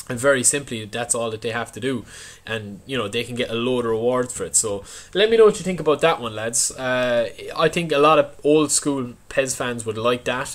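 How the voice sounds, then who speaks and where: A man with an Irish accent talks at a fairly quick pace. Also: medium pitch for a man, ordinary pitch variation. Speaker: gaming YouTuber. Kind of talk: casual video commentary.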